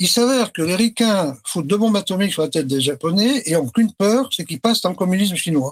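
Lively intonation marks this man's speech at a fairly quick pace. The sound is dry and close with no echo. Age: 70s. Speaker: retired company director. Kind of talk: casual interview.

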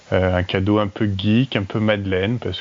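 Fairly even intonation and a moderate pace in an unremarkable speaking voice. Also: man. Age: 30s. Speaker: listener contributor. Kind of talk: personal anecdote.

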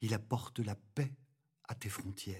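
A man's very slow, somewhat breathy speech with a dark, mellow tone. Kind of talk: guided meditation and prayer. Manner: calm, slow, reverent.

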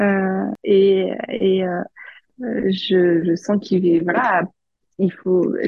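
A woman speaks at a medium pitch and a very slow pace, leaving long, frequent pauses. Her intonation is monotone and flat, and her loudness stays very even. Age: 30s. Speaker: HR manager and mother. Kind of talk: testimony. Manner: halting.

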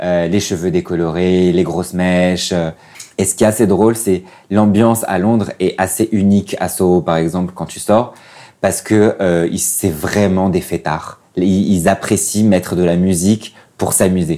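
Over a very clean recording with a silent background, a man speaks in a very deep, low pitch. His tone is dark and mellow, his intonation fairly even. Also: fairly slow pace. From Morocco, Casablanca. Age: 30s. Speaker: interview guest. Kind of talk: casual interview. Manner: halting.

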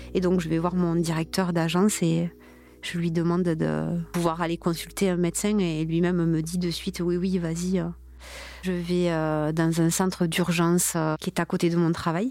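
Spoken at a moderate pace in a flat monotone, the voice has a dark, mellow tone on a very clean recording with a silent background. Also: woman, fairly low pitch for a woman. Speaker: multiple sclerosis patient and mother. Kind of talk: testimony. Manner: halting.

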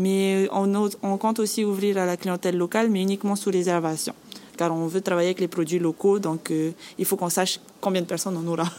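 A woman talks at a fairly quick pace and medium pitch, with very even loudness. Her intonation is flat and monotone, with noticeable background noise behind her. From French Polynesia, Bora Bora. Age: 20s. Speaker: guesthouse manager. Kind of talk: interview.

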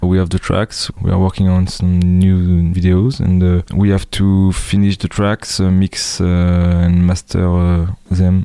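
A man talks in a French accent with a very deep, low pitch and a dark, mellow tone. He goes at a very slow pace. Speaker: musician. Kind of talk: interview.

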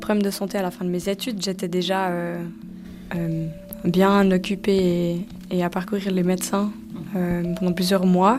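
With music in the background, the speaker moves at a moderate pace in a flat monotone, leaving long, frequent pauses. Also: woman. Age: 20s. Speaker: person living with multiple sclerosis. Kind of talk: personal testimony interview.

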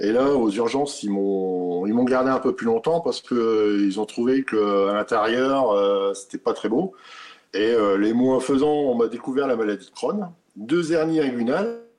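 A man with an ordinary speaking voice talks at a medium pitch with ordinary pitch variation. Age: 50s. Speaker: truck driver and patient. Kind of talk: testimony.

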